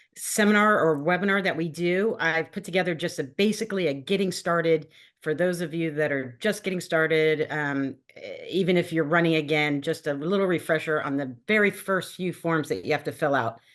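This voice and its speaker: Over a quiet background, a woman talks at a fairly quick pace with hardly any pauses, her fairly low pitch showing ordinary variation. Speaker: state ethics agency staff presenter. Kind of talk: webinar presentation. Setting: video call. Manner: fast.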